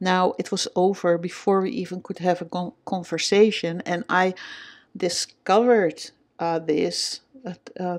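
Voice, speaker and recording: A woman speaks with a Dutch accent at a medium pitch. Her pace is fairly slow and her intonation fairly even. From Netherlands. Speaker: vlogger. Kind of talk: personal vlog. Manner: hesitant, many fillers.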